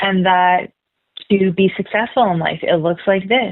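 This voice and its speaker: A woman with a Canadian accent talks fairly slowly at a medium pitch, her intonation fairly even, a plain, everyday voice. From Canada, Manitoba (Brandon). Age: 30s. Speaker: energy healer and spiritual mentor. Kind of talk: podcast interview.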